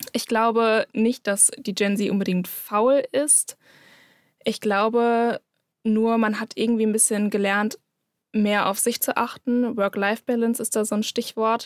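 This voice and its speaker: Recorded very cleanly against a silent background with a dry, close sound and no echo, a woman speaks fairly slowly in a fairly high pitch with flat, monotone intonation. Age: 20s. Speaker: social media manager. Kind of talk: casual chat.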